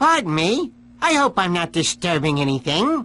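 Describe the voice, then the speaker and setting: Someone performs a put-on character voice. The pitch is middle and the pace moderate. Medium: video game. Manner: theatrical, gloating.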